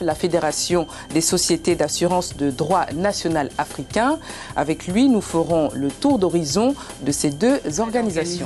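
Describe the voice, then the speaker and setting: Against music in the background, a woman with a fairly low pitch speaks at a fairly slow pace with lively intonation. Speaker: TV news presenter. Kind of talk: TV news headlines read.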